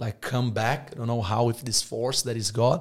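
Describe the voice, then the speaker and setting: In a very clean recording with a silent background, a man of medium pitch speaks at a fairly quick pace with a Portuguese accent, sounding somewhat breathy. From Brazil. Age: 20s. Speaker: business owner. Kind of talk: casual interview chat. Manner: animated.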